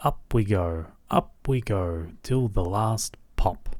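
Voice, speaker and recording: Putting on a character voice with an Australian accent, a man speaks at a very slow pace and a fairly low pitch. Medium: read story. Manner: brisk, impulsive.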